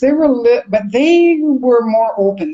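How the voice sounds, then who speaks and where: A woman speaks with a high voice. Her intonation is lively. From Vancouver, Canada. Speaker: communication coach and accent trainer. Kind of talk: interview answer. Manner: emphatic.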